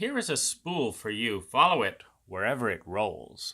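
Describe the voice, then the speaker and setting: A man uses a put-on character voice at medium pitch. The moderate-paced delivery comes on a very clean recording with a silent background. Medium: read story.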